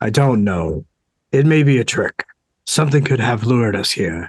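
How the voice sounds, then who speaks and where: At a moderate pace, a man puts on a raspy character voice at a medium pitch. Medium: read story. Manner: terse, guarded.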